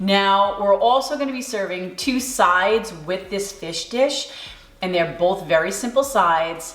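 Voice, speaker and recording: Speaking at a fairly slow pace in a New York accent, a woman with a medium pitch and ordinary pitch variation comes through audible room echo and noticeable background noise. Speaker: cooking channel host. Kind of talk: tutorial. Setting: home kitchen.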